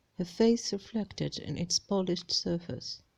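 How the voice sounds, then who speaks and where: Speaking at a fairly slow pace, a woman has a medium pitch and a dark, mellow tone. She talks with a non-native accent. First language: non-native English speaker. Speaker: amateur audiobook reader. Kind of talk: read-aloud fantasy novel chapter.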